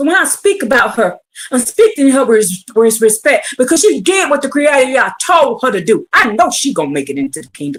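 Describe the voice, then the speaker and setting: Loud shouting comes at a fairly quick pace. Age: 50s. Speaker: online preacher. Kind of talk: livestream religious teaching. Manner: loud, yelling.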